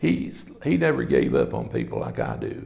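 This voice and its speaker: A man speaks with an Appalachian accent. There is audible room echo. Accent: Appalachian Southern US. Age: 80s+. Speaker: son of former sheriff, interviewee. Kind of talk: oral history interview.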